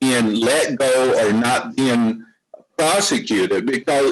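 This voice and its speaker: Speaking very slowly, a man with an American accent lets his pitch swing very widely. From US South. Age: 60s. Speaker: podcast guest. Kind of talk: casual discussion.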